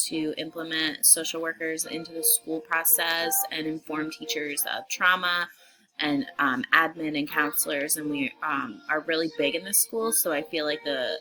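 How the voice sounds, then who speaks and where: A woman with a fairly low voice speaks at a fairly slow pace over background music. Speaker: social work student. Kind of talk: class video introduction. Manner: hesitant, many fillers.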